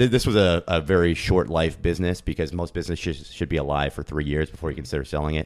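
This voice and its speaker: In an American accent, a man with a very deep, low voice and vocal fry rushes along at a very fast pace with hardly any pauses and ordinary pitch variation. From US Northeast (Pennsylvania). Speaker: e-commerce entrepreneur. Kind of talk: interview. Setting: in person.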